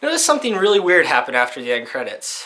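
A man speaks with very wide swings in pitch. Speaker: cartoon reviewer. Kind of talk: comedic review commentary. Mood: sarcastic, annoyed at the end. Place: home room. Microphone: webcam.

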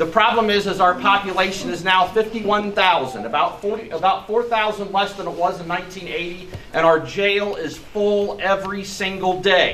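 A man with an American accent projects a raised voice at a high pitch. He speaks at a fairly slow pace with fairly even intonation over light background noise. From US Midwest. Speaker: sheriff's deputy. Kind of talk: public speech. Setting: outdoors. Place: garage. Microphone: camera far.

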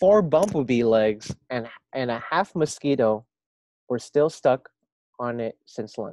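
A natural voice reading aloud, quiet background behind it.

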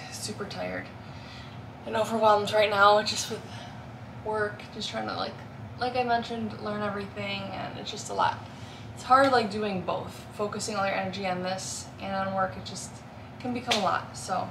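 A woman talks at a moderate pace with long, frequent pauses and big swings in loudness over noticeable background noise. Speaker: lifestyle vlogger. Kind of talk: casual vlog chat. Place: home room.

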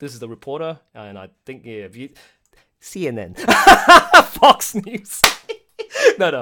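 With an Australian accent, a man talks at a fairly slow pace, pausing long and often, his loudness swinging widely. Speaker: project director hosting live stream. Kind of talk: casual chat. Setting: live stream. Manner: animated.

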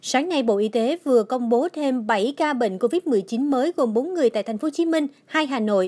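A woman speaks at a moderate pace in a high voice with lively intonation. The sound is dry and close, with no echo. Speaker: news reporter. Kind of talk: news reading.

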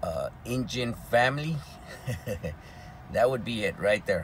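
A man speaks at a very slow pace with ordinary pitch variation. The sound is dry with no echo, over light background noise. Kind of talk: casual vlog chat. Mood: relaxed, easygoing. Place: car. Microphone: phone near.

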